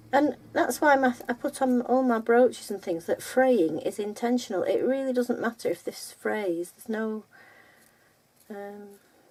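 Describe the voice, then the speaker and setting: At a moderate pace, a woman with a Lancashire accent speaks in a high voice with ordinary pitch variation. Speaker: textile art teacher. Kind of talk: casual chat; tutorial. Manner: chatty, rambling.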